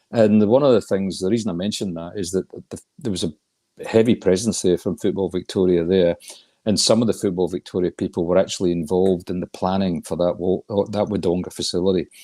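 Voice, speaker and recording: In a Scottish accent, a man speaks at a very fast pace with a very deep, low pitch, a dark, mellow tone and fairly even intonation, on a very clean recording with a silent background and a dry, close sound with no echo. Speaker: regional football association chair. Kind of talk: interview.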